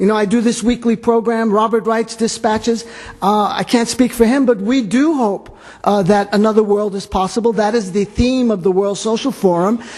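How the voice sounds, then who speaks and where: The speaker has a New York accent and a moderate pace. The intonation is fairly even. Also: man, high pitch for a man. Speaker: radio host. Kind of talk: panel discussion.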